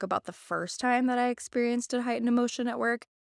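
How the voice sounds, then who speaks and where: In a very clean recording with a silent background and a dry, close sound with no echo, a woman with an American accent talks at a very fast pace in a fairly high pitch. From Missouri. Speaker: marketing professional. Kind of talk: casual chat.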